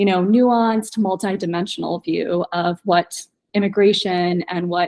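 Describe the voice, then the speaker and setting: A woman with an American accent has an unremarkable speaking voice at medium pitch and a moderate pace. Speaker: poet. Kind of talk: panel discussion.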